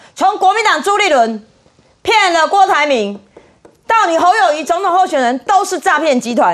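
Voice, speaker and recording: A woman's extremely high voice with very wide pitch swings, in a Taiwanese accent. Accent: Taiwanese Mandarin. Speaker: city councillor. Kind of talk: political talk show panel.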